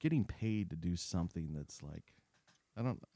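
A man speaks with an American accent in a dark, mellow tone. His intonation is lively, and the sound is dry and close with no echo. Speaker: filmmaker. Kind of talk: casual chat.

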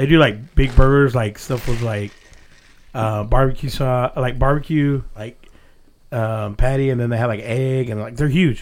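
An unremarkable speaking voice in an American accent, with fairly even intonation and a moderate pace. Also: man, medium pitch for a man. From Texas, Glen Rose. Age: 30s. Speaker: podcast host. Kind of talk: casual chat.

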